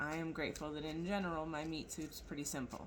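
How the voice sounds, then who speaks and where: A woman's very deep, low voice at a moderate pace, with noticeable background noise and audible room echo. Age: 40s. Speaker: tarot reader. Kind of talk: casual tarot reading monologue. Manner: mouth not fully opening, slightly altered speech.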